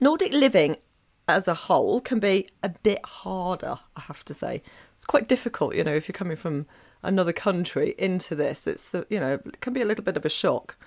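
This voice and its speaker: A woman speaks fairly quickly at a medium pitch, with very wide pitch swings and big swings in loudness. The recording is very clean with a silent background. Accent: English. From England. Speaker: podcaster and blogger on Nordic living. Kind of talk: podcast guest talk.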